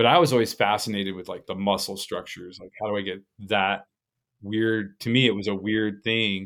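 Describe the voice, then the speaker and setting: On a very clean recording with a silent background, a man with an American accent speaks fairly quickly at a fairly low pitch, with big swings in loudness. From Colorado. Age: 50s. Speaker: butcher and instructor. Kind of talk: casual interview chat. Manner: animated.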